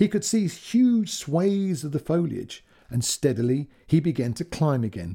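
Animated in tone, a man with a British accent and a fairly high pitch speaks with very wide pitch swings in a somewhat breathy voice. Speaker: podcast host and storyteller. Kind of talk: storytelling, reading fiction aloud. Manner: animated, expressive narration.

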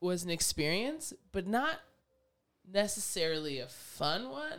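Her medium-pitched voice animated in tone, a woman swings her pitch very widely and leaves long, frequent pauses. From Canada. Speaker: podcast co-host. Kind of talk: casual chat.

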